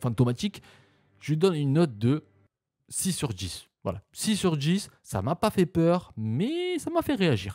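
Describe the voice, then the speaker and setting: Dry and close with no echo, the man's somewhat breathy voice has a dark, mellow tone. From southern France, Marseille. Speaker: YouTuber reacting to videos. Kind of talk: reaction video commentary. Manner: animated, exclamatory.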